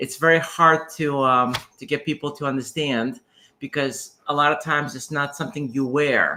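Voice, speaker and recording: A man's fairly high voice, bright and sharp in tone, at a moderate pace with fairly even intonation, on a very clean recording with a silent background. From Ukraine (Soviet era). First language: Russian. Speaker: doctor. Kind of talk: livestream chat.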